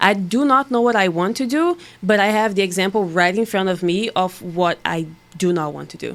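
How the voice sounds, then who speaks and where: A woman speaks in a Portuguese accent at a medium pitch. Her pace is fairly quick and her pitch variation is ordinary. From Brazil. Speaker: bikini bodybuilding competitor. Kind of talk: podcast interview answer.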